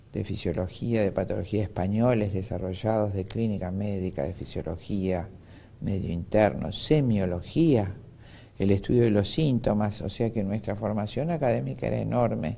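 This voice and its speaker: At a moderate pace, a man speaks with lively intonation. His voice is fairly low in pitch, with a dark, mellow tone. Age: 60s. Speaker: doctor. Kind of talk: interview.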